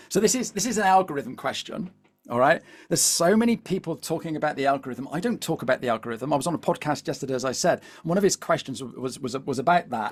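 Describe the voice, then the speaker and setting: Over music in the background, a man with a Devon accent talks at a very fast pace in a fairly high pitch with lively intonation. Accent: Devonshire. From England, Devon. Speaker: LinkedIn coach. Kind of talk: webinar presentation. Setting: live video webinar. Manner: animated, repetitive fillers.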